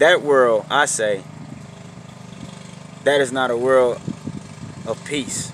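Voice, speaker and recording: A man talks at medium pitch with ordinary pitch variation, at a very slow pace with long, frequent pauses. Noticeable background noise sits behind him. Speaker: street preacher. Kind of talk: sermon. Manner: halting, repeats words.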